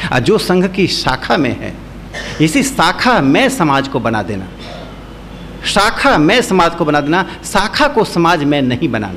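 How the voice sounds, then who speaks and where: With a Bihari accent, a man talks at a high pitch with very wide pitch swings. Noticeable background noise and audible room echo fill the recording. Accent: Bihari Hindi, people notice it. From Bihar, India. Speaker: speaker at a seminar. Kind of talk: lecture.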